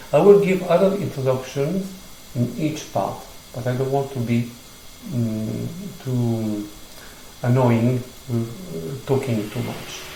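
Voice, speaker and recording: Lively intonation with long, frequent pauses, a strong non-native accent, audible room echo and noticeable background noise. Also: man, medium pitch for a man. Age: 60s. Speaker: gymnastics teacher, former ballet dancer. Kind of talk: tutorial. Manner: halting.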